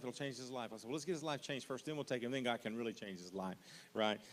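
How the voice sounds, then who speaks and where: This man's voice shows ordinary pitch variation. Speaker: missions pastor. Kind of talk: orientation talk. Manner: fast.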